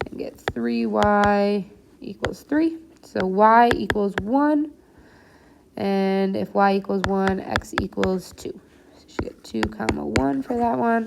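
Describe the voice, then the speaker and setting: A woman talks very slowly with very wide pitch swings over noticeable background noise. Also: medium pitch for a woman. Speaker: math teacher. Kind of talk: tutorial.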